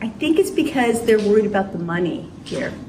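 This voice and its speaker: A woman talks at a fairly quick pace with lively intonation, her voice carrying audible room echo amid noticeable background noise. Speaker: college chemistry instructor. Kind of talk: classroom talk to students. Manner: fast.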